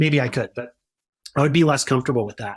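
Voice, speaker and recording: Very clean, silent-backed recording of a somewhat breathy man. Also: dry, close sound with no echo. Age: 40s. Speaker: self-storage investor. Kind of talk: interview. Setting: podcast. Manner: halting, many repeated words.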